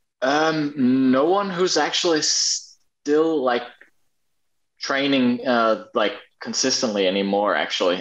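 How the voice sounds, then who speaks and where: The voice moves at a fairly slow pace and makes very wide pitch swings. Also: man. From Australia, Brisbane. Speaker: parkour athlete. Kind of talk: casual interview chat. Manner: halting, many fillers.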